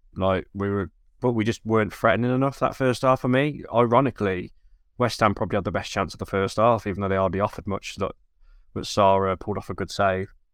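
The man's voice sits fairly low, with ordinary pitch variation. He speaks at a very fast pace. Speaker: podcast co-host. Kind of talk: casual football podcast chat. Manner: relaxed, conversational, laughs often.

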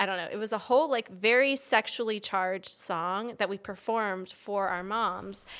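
With an American accent, a woman talks at a moderate pace with hardly any pauses, her medium pitch showing ordinary variation in a plain, everyday voice on a very clean recording with a silent background. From Washington DC area, US. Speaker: podcast host. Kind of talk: casual comedic chat.

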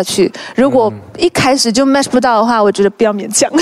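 A woman's fairly high voice, showing ordinary pitch variation, comes through noticeable background noise. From Malaysia, Hokkien Chinese family. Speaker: actress. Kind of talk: casual chat.

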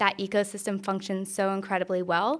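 An unremarkable speaking voice with an American accent moves at a fairly quick pace in a very clean recording with a silent background. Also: woman. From North Carolina, US South. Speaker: venture capital investor. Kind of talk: interview. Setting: in-person recording at a conference.

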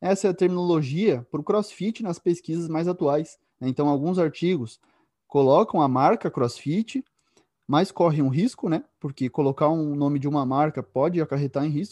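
Lively intonation from a man with a fairly high pitch and a dark, mellow tone, dry and close with no echo against a quiet background. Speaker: radio host and exercise science professor. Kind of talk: interview chat.

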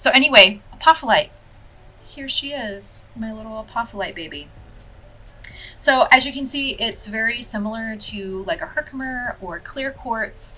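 A woman with a high pitch and ordinary pitch variation talks at a moderate pace over noticeable background noise. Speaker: spiritual podcast host and reader. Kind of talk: casual monologue. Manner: animated.

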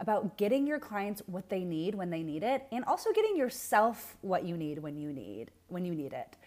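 Lively intonation from a woman with an ordinary speaking voice at medium pitch. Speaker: business manager. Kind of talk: casual interview chat.

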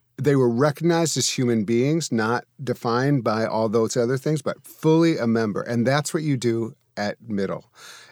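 Recorded very clean with a silent background and a dry, close sound with no echo, a man has a plain, everyday voice at medium pitch, speaking at a moderate pace with ordinary pitch variation and hardly any pauses. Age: 50s. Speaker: minister and interfaith advisor. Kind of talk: casual interview chat.

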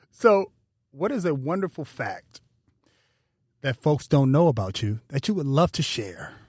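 With long, frequent pauses, a somewhat breathy man speaks at a fairly slow pace and fairly high pitch with very wide pitch swings, the sound dry and close with no echo on a very clean recording with a silent background. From Pasadena, California. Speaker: podcast host. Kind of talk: interview. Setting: studio.

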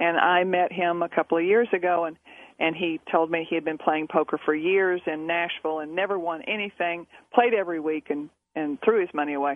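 A woman talks at a fairly quick pace with fairly even intonation and a fairly low pitch. It is an ordinary speaking voice. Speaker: poker coach and author. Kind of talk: casual radio interview. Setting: phone or remote radio interview.

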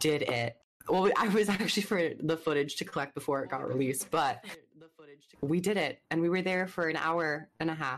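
With an unremarkable speaking voice, a woman talks at a fairly quick pace and a fairly low pitch, her pitch variation ordinary. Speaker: YouTube creator. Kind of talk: casual chat podcast.

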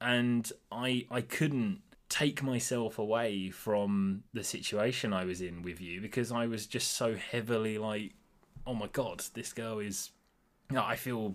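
At a fairly slow pace, a man in a medium pitch uses an ordinary speaking voice, captured in a very clean recording with a silent background. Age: 20s. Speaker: host's boyfriend. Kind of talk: casual chat.

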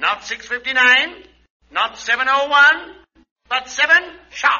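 Using a put-on character voice, a man talks slowly at an extremely high pitch, his tone bright and sharp and his intonation lively.

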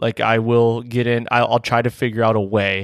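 An American-accented man at medium pitch, a plain, everyday voice, fairly quick pace, dry, close sound with no echo, very clean recording, silent background. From Michigan, US. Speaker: hunting podcast host and deer hunter. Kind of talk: casual chat.

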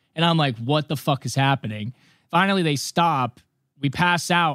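Speaking at a moderate pace in an ordinary speaking voice, a man has a fairly high pitch with ordinary pitch variation, captured dry and close with no echo on a very clean recording with a silent background. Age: 20s. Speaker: recovering addict. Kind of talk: testimony.

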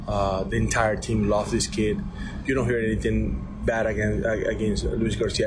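Against noticeable background noise, a man speaks at a moderate pace with very even loudness. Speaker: baseball third base coach. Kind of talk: radio interview. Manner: halting, repeating words.

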